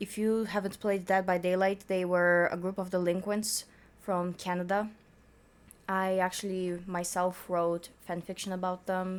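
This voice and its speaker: At a fairly slow pace, a woman with a non-native accent speaks at a medium pitch with monotone, flat intonation. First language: not English. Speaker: youtuber reacting to fanfiction. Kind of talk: casual reaction commentary; reading aloud with commentary. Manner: stuttering.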